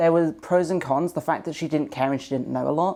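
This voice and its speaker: A woman speaks in a dark, mellow tone with vocal fry and ordinary pitch variation, in a very clean recording with a silent background. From Devon, England. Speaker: interviewee. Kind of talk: interview. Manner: halting with fillers.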